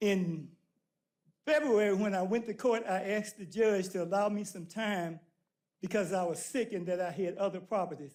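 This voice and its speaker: A man with a Southern US accent, high-pitched, ordinary pitch variation, moderate pace. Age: 70s. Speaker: citizen speaking at public comment. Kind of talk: public comment. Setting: city council meeting. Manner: animated.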